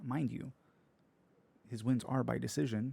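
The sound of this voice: A man's medium-pitched voice, dark and mellow, croaky with vocal fry and a slightly husky edge, at a fairly slow pace.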